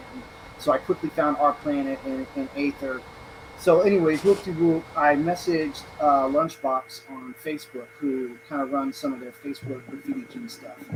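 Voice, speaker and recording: A man's fairly high voice at a moderate pace, with ordinary pitch variation, big swings in loudness and noticeable background noise. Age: 40s. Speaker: musical artist, project guest. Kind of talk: casual livestream chat.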